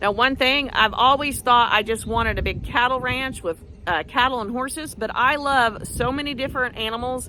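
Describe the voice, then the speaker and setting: Vocal fry and an American accent at a fairly quick pace. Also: woman. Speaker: backyard farmer and vlogger. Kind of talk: casual vlog monologue. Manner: fast.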